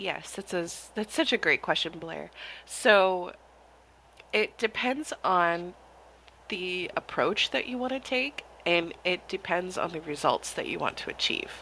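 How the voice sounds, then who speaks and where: On a very clean recording with a silent background, a woman of medium pitch speaks slowly in a bright, sharp tone, with lively intonation and long, frequent pauses. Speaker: hypnotherapist. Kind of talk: interview conversation.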